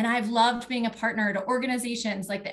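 Against a quiet background, a woman speaks with a fairly high pitch and fairly even intonation. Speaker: politician, state legislator running for office; politician. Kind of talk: campaign speech. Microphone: video call.

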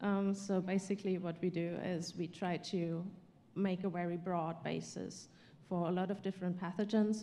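In a German accent, a woman speaks at a moderate pace with a dark, mellow tone and monotone, flat intonation. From Germany. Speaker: panelist plant pathologist. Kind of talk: panel discussion. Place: hall. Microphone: handheld.

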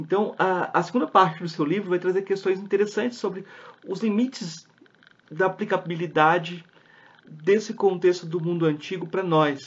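A high-pitched man talks at a moderate pace, his pitch varying in an ordinary way. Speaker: podcast host. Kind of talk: interview conversation.

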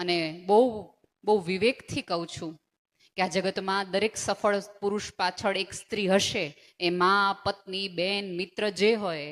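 On a very clean recording with a silent background, a woman in an ordinary speaking voice talks at a medium pitch with fairly even intonation. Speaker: motivational speaker. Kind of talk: motivational speech.

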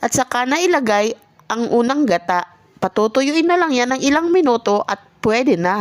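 Very even in loudness, a woman's high voice travels through very wide pitch swings at a moderate pace. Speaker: vlogger. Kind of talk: scripted voice-over narration. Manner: stumbling over words.

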